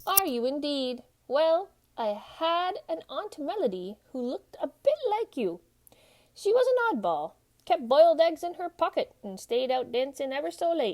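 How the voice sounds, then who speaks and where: A woman's put-on character voice, high in pitch with very wide pitch swings, at a moderate pace. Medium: read story. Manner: warm, gently theatrical.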